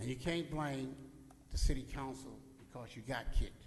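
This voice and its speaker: Audible room echo hangs around this man's voice. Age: 70s. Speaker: public commenter at council meeting. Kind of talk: public comment speech. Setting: city council chamber. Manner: animated.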